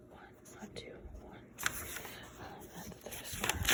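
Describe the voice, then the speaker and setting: Very slow whispering beneath noticeable background noise. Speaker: ASMR creator. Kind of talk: ASMR casual talk to camera. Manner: whispered.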